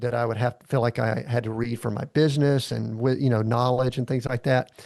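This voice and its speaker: Against a quiet background, a man with a Southern US accent speaks with fairly even intonation. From US South, Atlanta, Georgia. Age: 60s. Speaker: executive coach. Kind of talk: casual chat.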